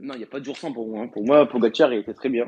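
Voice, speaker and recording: A man speaks in a dark, mellow tone at a fairly quick pace. The sound is dry and close, with no echo. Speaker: cycling podcast co-host. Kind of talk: casual chat.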